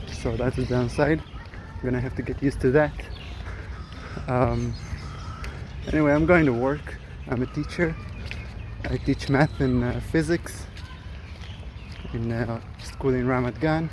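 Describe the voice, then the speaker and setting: Long, frequent pauses within a moderate pace, noticeable background noise underneath. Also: man. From Israel. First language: Hebrew. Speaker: vlogger. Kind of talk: casual vlog monologue. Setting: outdoors, walking through a park. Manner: hesitant, many fillers.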